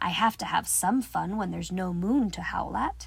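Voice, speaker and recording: A raspy, gruff put-on character voice at a middle pitch and a moderate pace. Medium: read story. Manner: muttering, gruff.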